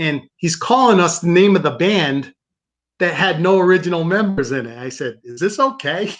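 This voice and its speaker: Lively intonation from a man with an American accent, high pitch, a moderate pace and big swings in loudness. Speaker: guitarist. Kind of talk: casual interview. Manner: halting.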